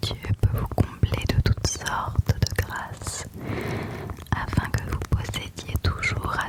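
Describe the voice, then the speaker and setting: A whisper against noticeable background noise. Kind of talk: ASMR Bible verse reading. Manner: whispered; soft-spoken, slow.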